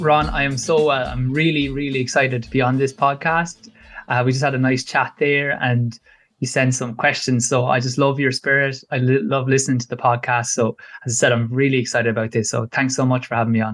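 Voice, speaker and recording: A man's fairly quick, medium-pitched voice in an Irish accent, with fairly even intonation. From Ireland, Kilkenny. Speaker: podcast guest, runner. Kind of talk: casual interview chat.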